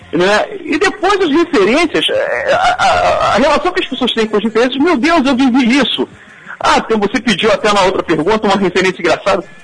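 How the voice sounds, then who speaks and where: Against noticeable background noise, a man with an extremely high voice talks fairly quickly, his pitch swinging very widely while his loudness stays very even. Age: 40s. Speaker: teacher and author. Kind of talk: interview.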